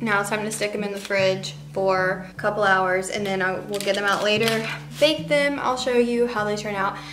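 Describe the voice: With clear background noise, a woman talks at a medium pitch and moderate pace, her intonation fairly even.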